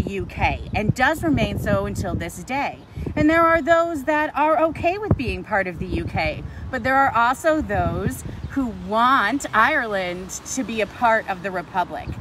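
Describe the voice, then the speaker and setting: Loud and at a high pitch, a woman speaks at a moderate pace with very wide pitch swings over noticeable background noise. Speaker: paranormal and history tour guide. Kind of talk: live outdoor talk to camera. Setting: outdoors at a monument in a traffic circle.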